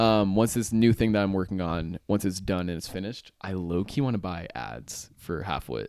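A man's very deep, low voice with ordinary pitch variation at a moderate pace, on a very clean recording with a silent background. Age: 20s. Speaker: podcast host. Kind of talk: casual chat.

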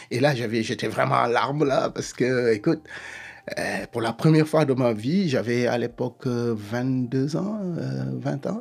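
Noticeable background noise sits under a man speaking at a very slow pace, medium in pitch with ordinary variation. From Senegal. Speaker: history professor. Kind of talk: personal testimony interview.

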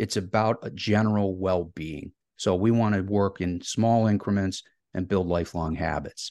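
A man speaks with a Midwestern American accent in a fairly low voice with a dark, mellow tone. His pace is moderate, and the background is quiet. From Ohio, US Midwest. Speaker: educator and author. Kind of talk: podcast interview.

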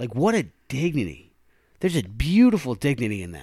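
The voice has vocal fry and very wide pitch swings, delivered at a moderate pace. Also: man. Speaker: podcast host. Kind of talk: casual chat.

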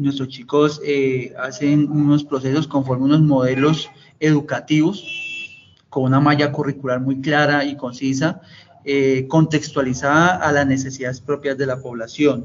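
Through noticeable background noise, a man speaks at a fairly high pitch with monotone, flat intonation. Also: fairly slow pace. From Colombia, Tolima (Ibagué). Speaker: director of a youth detention and rehabilitation center. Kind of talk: interview. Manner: halting, many fillers and repeats; formal.

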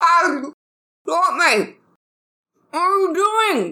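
A put-on character voice speaks at an extremely high pitch. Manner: alarmed, mouth full, gurgling.

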